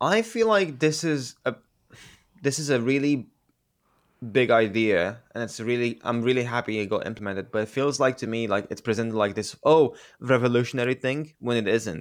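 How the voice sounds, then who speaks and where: On a very clean recording with a silent background, a man with a Romanian accent talks at a moderate pace and medium pitch, with ordinary pitch variation. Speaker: gaming podcast co-host. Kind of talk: casual chat.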